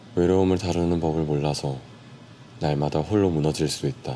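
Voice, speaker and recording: Very deep and low in pitch, this man speaks in a calm tone. His pitch varies in an ordinary way. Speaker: audiobook narrator / ASMR reader. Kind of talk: soft book reading for sleep, ASMR. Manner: soft-spoken, calm, slow.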